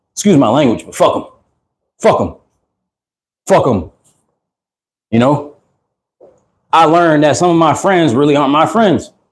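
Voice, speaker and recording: With lively intonation and vocal fry, a man speaks at a fairly high pitch. His pace is moderate, broken by long, frequent pauses. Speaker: livestreamer. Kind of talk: livestream monologue. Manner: loud; animated.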